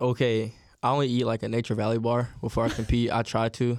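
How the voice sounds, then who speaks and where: Over a silent background in a very clean recording, a man with an ordinary speaking voice talks at a fairly quick pace and medium pitch. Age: 20s. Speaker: college track athlete. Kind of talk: casual chat.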